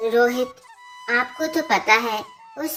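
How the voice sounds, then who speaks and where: A woman's cartoonish character voice, high in pitch and at a very slow pace, with clear music in the background. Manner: soft, hesitant.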